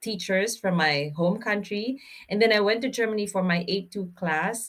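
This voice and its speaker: The woman's voice sits at a medium pitch. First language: not German or English. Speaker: German language teacher. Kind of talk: tutorial. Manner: halting, many fillers.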